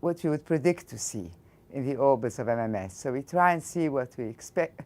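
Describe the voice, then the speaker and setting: In a very clean recording with a silent background, a woman with an Egyptian accent talks at a moderate pace in a very deep, low voice. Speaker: physics professor. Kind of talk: interview.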